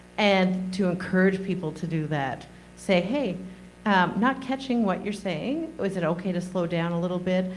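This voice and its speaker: Heard with audible room echo, a woman speaks at a moderate pace with ordinary pitch variation. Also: medium pitch for a woman. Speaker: presenter. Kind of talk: audience comment.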